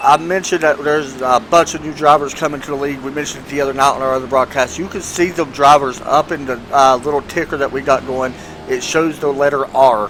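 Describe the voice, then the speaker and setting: A man with a fairly high pitch speaks at a very fast pace with hardly any pauses and fairly even intonation. Noticeable background noise runs underneath. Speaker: sim racing commentator. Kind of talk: live commentary.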